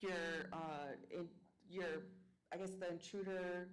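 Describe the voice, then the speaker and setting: In a Spanish accent, a woman speaks at a fairly low pitch with ordinary pitch variation. Audible echo fills the room. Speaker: school board member. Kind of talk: board meeting questions. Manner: halting.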